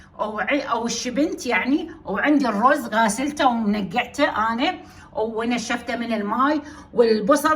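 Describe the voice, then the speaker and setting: Noticeable background noise surrounds a woman who speaks fairly slowly in a high pitch with ordinary pitch variation. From Iraq, Basra. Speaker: cooking channel host. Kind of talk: cooking tutorial. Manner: speaking louder than usual today; hesitant, many fillers.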